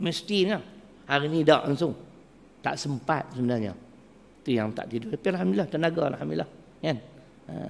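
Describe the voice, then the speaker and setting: A man at a very fast pace, fairly high in pitch, with very wide pitch swings and long, frequent pauses. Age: 60s. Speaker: religious preacher. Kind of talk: religious lecture. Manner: animated.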